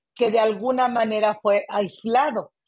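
Over a quiet background, a woman with an unremarkable speaking voice and a fairly high pitch talks at a fairly slow pace. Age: 50s. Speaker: community activist. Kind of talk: interview conversation.

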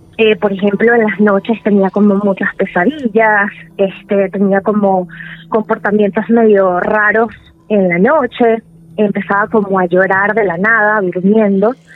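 Amid noticeable background noise, a woman with a medium pitch talks at a fairly slow pace, her loudness very even and her intonation fairly even. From Venezuela. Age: 30s. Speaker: storyteller sharing paranormal experience. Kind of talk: personal testimony.

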